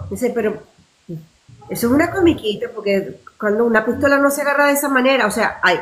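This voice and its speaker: Fairly quick and lively in intonation, a woman speaks at a high pitch. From Venezuela. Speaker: actress. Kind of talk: interview answer.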